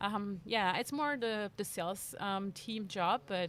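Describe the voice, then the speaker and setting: A woman talks with a French accent and ordinary pitch variation. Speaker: bike industry marketing manager. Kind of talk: interview. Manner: hesitant, many fillers.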